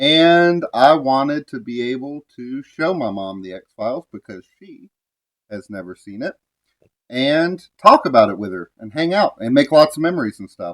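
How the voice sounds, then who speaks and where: A man with a fairly high pitch, very wide pitch swings and big swings in loudness, at a moderate pace, in a dry, close sound with no echo. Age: 30s. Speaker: podcast co-host. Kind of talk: casual chat. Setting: at home, mother's house.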